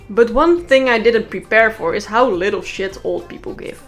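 With music playing behind her, a woman with a Dutch accent talks at a moderate pace, her fairly high pitch swinging very widely. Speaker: freelance animator narrating a comedic story video.

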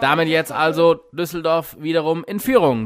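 Upbeat, high-pitched man at a moderate pace, with noticeable background noise. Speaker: sports commentator. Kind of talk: live sports commentary over highlight footage. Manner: fluent, upbeat, builds excitement around key points.

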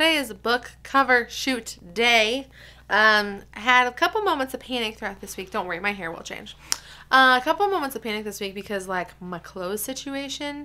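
A woman's high voice, bright and sharp in tone, with lively intonation. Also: moderate pace. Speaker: vlogger. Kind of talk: casual vlog chat. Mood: excited, a bit frustrated. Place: home room. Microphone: phone near.

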